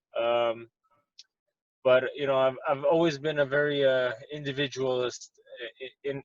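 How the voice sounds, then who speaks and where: A man with an Armenian accent speaks in a monotone, flat intonation. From Montreal, Quebec, Canada. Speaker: professional boxer. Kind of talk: interview. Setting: in his car. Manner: halting, many fillers.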